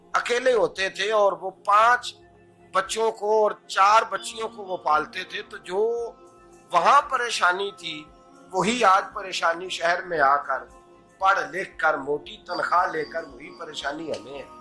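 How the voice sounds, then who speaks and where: A man's raised, projected, high-pitched voice with ordinary pitch variation and big swings in loudness, music playing in the background. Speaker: Islamic scholar and preacher. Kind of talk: Islamic sermon (bayan).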